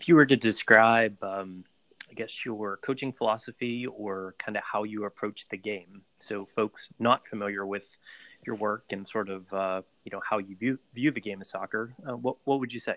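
A fairly low male voice with an American accent, bright and sharp in tone, fairly even intonation and moderate pace, dry and close with no echo against a quiet background. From Pittsburgh, US. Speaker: podcast host. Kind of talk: interview.

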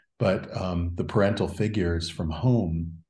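Amid audible room echo, a man with a very deep, low voice speaks at a fairly slow pace, somewhat breathy and dark and mellow in tone, with ordinary pitch variation. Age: 50s. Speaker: podcast host. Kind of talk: interview.

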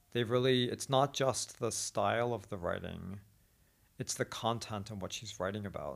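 A man speaks at a moderate pace with a medium pitch, ordinary pitch variation and some vocal fry. The recording is very clean, with a silent background. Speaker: podcast host and teacher. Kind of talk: casual chat. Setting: Beijing, China.

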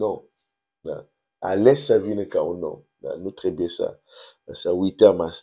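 The speech moves at a very slow pace, broken by long, frequent pauses and big swings in loudness. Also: man. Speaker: preacher. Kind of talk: devotional teaching. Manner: halting, with filler words.

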